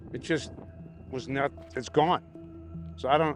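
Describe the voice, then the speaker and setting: A man with a fairly high pitch and ordinary pitch variation, at a fairly slow pace, with music in the background. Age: 60s. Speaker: festival attendee sharing a sighting. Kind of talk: casual interview. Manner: halting.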